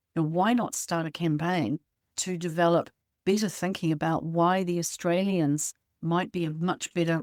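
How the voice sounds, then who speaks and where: A woman with a New Zealand accent, fairly low in pitch with ordinary pitch variation, at a moderate pace on a very clean recording with a silent background and a dry, close sound with no echo. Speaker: podcast co-host and publisher. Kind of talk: podcast interview.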